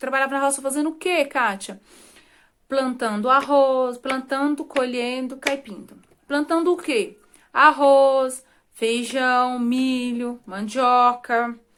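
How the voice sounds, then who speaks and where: Against a very clean recording with a silent background, a woman speaks very slowly in a high voice. Her intonation is fairly even, while her loudness swings a lot. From Brazil, rural Minas Gerais. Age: 30s. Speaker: vlogger. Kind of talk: personal life story to camera. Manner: casual, conversational.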